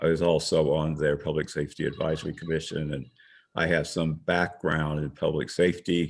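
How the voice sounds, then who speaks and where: A man's very deep, low voice in a flat monotone at a moderate pace on a very clean recording with a silent background. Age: 70s. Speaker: board candidate, retired transit manager. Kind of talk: candidate self-introduction at virtual meeting.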